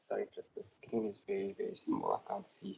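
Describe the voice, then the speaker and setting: Speaking softly, a man keeps to a moderate pace. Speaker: forensic investigations lawyer. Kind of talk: conference presentation. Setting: stage with audience. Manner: soft-spoken.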